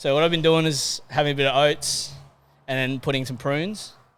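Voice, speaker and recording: Ordinary pitch variation in a man's fairly high voice, moving at a moderate pace. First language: not English. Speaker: fitness coach, podcast co-host. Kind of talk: casual chat. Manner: animated.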